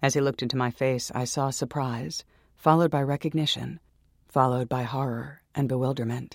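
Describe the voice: Fairly even intonation in plain reading aloud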